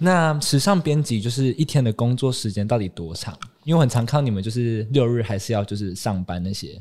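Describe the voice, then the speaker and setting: Here is a plain, everyday voice at a fairly quick pace. The intonation is lively. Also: man, medium pitch for a man. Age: 20s. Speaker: fashion magazine intern, student. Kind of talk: casual interview.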